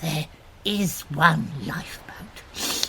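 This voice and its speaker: Clear background noise sits under a put-on character voice delivered in a whisper. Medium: audio drama. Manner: nervous, hesitant.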